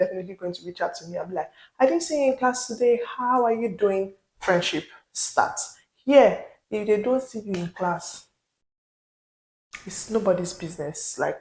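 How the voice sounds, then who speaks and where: A woman's fairly high, somewhat breathy voice with lively intonation and big swings in loudness. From Nigeria. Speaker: vlogger, international student. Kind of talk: vlog monologue. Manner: animated.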